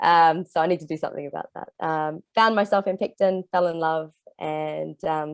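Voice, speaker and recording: A woman's voice in an Australian accent, with a dry, close sound and no echo. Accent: Australian twang. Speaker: environmental group member. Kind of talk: self-introduction in group video call. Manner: halting, many fillers.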